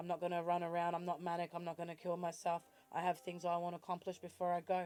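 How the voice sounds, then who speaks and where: Someone talks at a very fast pace in an Australian accent. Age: 40s. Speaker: vlogger. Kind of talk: personal vlog monologue.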